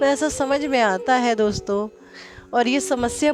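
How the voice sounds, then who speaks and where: Music plays in the background as a woman speaks in a high pitch. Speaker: spiritual guide. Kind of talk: spiritual talk to viewers.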